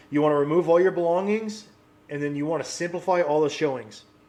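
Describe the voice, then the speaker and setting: A man with a high pitch talks at a fairly quick pace. His pitch variation is ordinary. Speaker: real estate cash home buyer. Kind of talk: promotional talk to camera. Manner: fast; casual, conversational.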